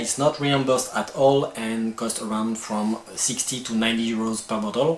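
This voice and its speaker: With a strong French accent, a man speaks in fairly even intonation over noticeable background noise. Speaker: video creator. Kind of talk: informational tutorial. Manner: some hesitations.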